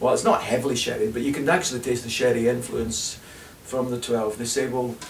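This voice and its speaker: Audible room echo and light background noise around a man talking. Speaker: whisky reviewer. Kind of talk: whisky review talk to camera. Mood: relaxed, enthusiastic. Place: home room. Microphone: camera far.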